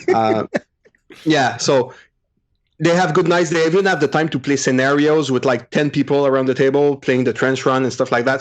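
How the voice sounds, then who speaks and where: A man in a French Canadian accent at medium pitch, fairly quick, with fairly even intonation, very even loudness and a quiet background. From Quebec, Montreal. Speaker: podcaster, tabletop gamer. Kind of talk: casual chat.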